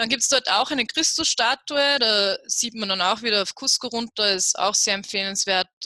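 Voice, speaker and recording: Speaking at a fairly high pitch and a moderate pace, a woman shows ordinary pitch variation. She leaves hardly any pauses, and the sound is dry and close with no echo. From Upper Austria. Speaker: travel blogger. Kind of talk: interview about travel tips.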